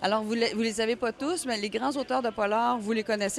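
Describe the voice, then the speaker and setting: The speaker is a woman. She has a Quebec accent. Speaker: crime novelist. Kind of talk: radio interview.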